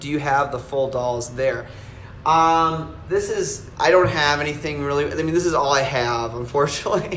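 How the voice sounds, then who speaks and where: A man with an American accent speaks at a moderate pace, his pitch fairly high with ordinary variation. Audible room echo surrounds his voice. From Wisconsin, US Midwest. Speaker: collectibles maker answering viewer questions. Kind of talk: live stream Q&A, casual chat. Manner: halting, many fillers and restarts.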